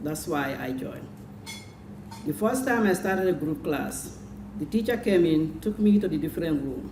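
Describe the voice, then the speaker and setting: With noticeable background noise behind her, a woman speaks in a Senegalese accent at a fairly low pitch with lively intonation. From Gambia. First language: Jola. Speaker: adult literacy student. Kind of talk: prepared speech.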